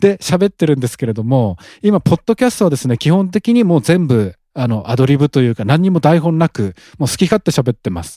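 At a fairly quick pace, a man's fairly high, dark, mellow voice makes very wide pitch swings, the sound dry and close with no echo. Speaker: real estate podcast host. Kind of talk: solo casual talk. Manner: mumbling.

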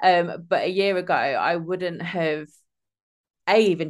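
A woman speaks with an East Midlands accent. Her pitch is fairly low, and the background is quiet. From England. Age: 30s. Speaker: former social care worker, gym-goer. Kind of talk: casual chat. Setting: remote call from home. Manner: halting, many fillers.

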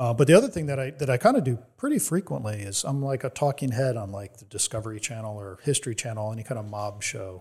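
With an American accent, a man's medium-pitched, somewhat breathy voice races at a very fast pace with hardly any pauses, ordinary pitch variation and big swings in loudness on a very clean recording with a silent background. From New Jersey. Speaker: author and organized crime historian. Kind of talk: interview.

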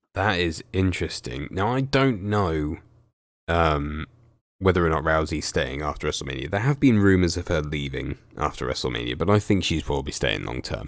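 A man's very deep, low voice with vocal fry, a moderate pace and lively intonation. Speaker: wrestling YouTuber interviewing guest. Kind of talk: casual interview chat.

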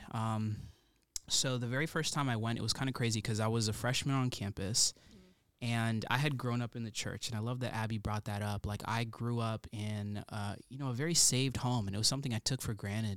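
On a very clean recording with a silent background, a man with an unremarkable speaking voice talks at a fairly quick pace in a medium pitch, with fairly even intonation. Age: 20s. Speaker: recent graduate and student mentor. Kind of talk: testimony.

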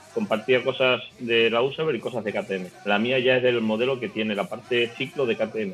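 With music in the background, a man speaks with hardly any pauses. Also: medium pitch for a man, ordinary pitch variation, moderate pace. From Extremadura, Spain (Navalmoral de la Mata, Cáceres). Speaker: motorcycle traveler. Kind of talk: casual chat.

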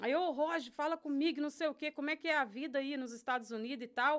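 Talking very fast with a rural Brazilian accent, a woman uses a high pitch and ordinary pitch variation. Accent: rural Brazilian countryside (caipira). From Brazil, interior of São Paulo state. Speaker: Brazilian immigrant, social volunteer. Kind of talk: casual chat.

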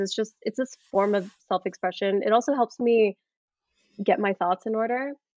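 Speaking at a moderate pace with an American accent, the woman has a normal speaking voice pitched fairly high. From Colorado. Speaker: actor and screenwriter. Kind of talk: interview.

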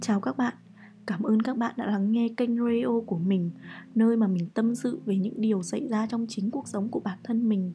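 Somewhat breathy, with a dark, mellow tone, the voice moves at a moderate pace with ordinary pitch variation. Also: woman, fairly high pitch for a woman. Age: 20s. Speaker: podcaster and university student. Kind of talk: personal monologue podcast.

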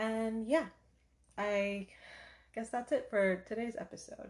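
At a very slow pace, a woman talks in a somewhat breathy voice. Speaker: podcast host. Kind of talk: casual monologue. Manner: casual, laughing.

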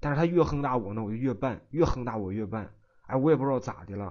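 His intonation rises and falls in a lively way. This man talks very fast. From Shandong, Tai'an. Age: 20s. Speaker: caller, custom furniture installer. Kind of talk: advice call-in. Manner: halting, repetitive stammering.

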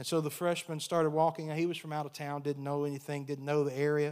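A man with an American accent, fairly high-pitched, at a very fast pace. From United States. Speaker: pastor. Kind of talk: sermon. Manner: animated.

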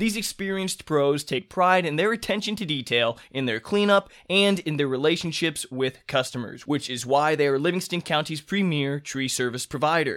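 In a very clean recording with a silent background, a man with a Midwestern American accent speaks at a fairly high pitch and a moderate pace, with lively intonation and hardly any pauses. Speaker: podcast host. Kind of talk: interview.

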